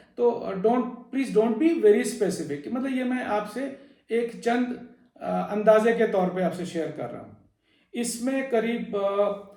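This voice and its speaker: Amid audible room echo, a man speaks in a high pitch with a dark, mellow tone and ordinary pitch variation. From Delhi, India (Uttarakhandi family). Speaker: video blogger / presenter. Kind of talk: informational talk. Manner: hesitant, frequent fillers.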